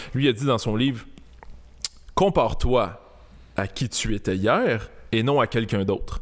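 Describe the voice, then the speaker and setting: Pausing long and often, a man speaks at a fairly slow pace and a medium pitch with ordinary pitch variation. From Montreal, Quebec (Saint-Léonard). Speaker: comedy video creator, former police officer. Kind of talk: casual chat. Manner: calm, composed.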